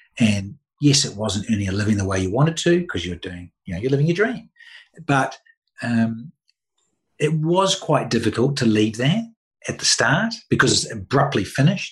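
A somewhat breathy male voice with very wide pitch swings. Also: medium pitch for a man, moderate pace. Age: 50s. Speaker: former cricketer, media presenter. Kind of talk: interview.

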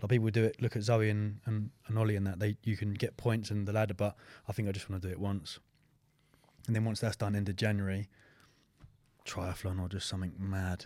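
A man with an English accent and a fairly low pitch, speaking at a fairly quick pace in a flat monotone with long, frequent pauses, on a very clean recording with a silent background. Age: 20s. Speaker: fitness coach and podcast co-host. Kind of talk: casual chat. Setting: studio.

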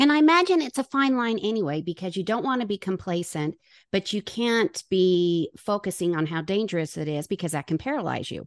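A woman of medium pitch speaks fairly quickly with hardly any pauses and very wide pitch swings, recorded dry and close with no echo against a quiet background. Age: 50s. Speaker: podcast host. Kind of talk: interview.

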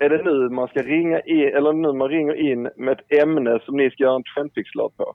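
At a moderate pace and with hardly any pauses, a man speaks in a monotone, flat intonation. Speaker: caller. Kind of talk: casual chat. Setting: phone call.

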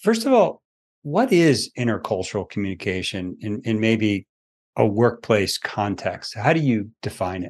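A man in an ordinary speaking voice, medium pitch, ordinary pitch variation and a moderate pace, against a quiet background. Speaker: podcast host. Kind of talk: interview conversation.

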